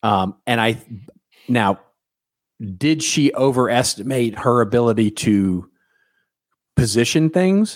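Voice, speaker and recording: A man talks at a medium pitch and a very slow pace, with long, frequent pauses. His loudness stays very even while his intonation is lively. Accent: American. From Texas. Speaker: marketing podcast co-host. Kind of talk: casual chat.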